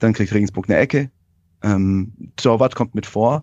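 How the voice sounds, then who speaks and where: A man speaks with a dark, mellow tone over a quiet background. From Hohenlohe, Baden-Württemberg, Germany. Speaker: football fan guest. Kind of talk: casual chat.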